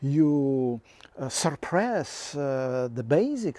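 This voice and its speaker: Very slow in pace, a man talks with a non-native accent and a dark, mellow tone. His pitch is fairly high, with ordinary variation. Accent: foreign. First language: not English. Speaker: filmmaker and video commentator. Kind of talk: satirical monologue. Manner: halting, many fillers.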